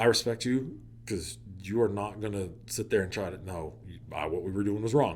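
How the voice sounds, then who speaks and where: A man talks in an American accent at a fairly low pitch, with vocal fry. His pace is moderate and his pitch variation ordinary. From Oklahoma. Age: 40s. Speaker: teacher and wedding DJ. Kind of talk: casual interview. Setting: studio. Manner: animated.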